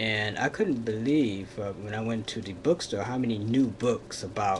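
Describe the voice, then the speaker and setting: Against noticeable background noise, a man speaks fairly slowly with fairly even intonation and a fairly low pitch. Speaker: vlogger. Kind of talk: casual vlog monologue. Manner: hesitant, many fillers.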